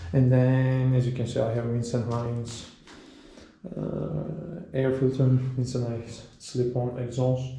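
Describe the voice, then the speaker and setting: A man with a non-native accent speaks at a fairly slow pace and medium pitch. His intonation is fairly even, and audible room echo surrounds him. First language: not English. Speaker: motorcycle owner / video creator. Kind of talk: casual tutorial walkthrough. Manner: halting, many fillers and self-corrections.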